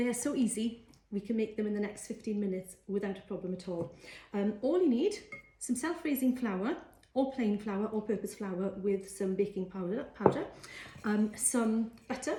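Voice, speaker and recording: Ordinary pitch variation and a moderate pace in a Welsh accent, over noticeable background noise. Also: woman, fairly high pitch for a woman. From Wales. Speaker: cookery teacher. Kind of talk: cooking tutorial. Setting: live social media video. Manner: casual, frequent fillers.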